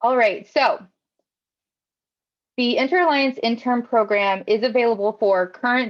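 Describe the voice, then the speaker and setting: A woman with a fairly high pitch and ordinary pitch variation, marked by long, frequent pauses. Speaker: youth internship program coordinator. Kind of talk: informational presentation. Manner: fast.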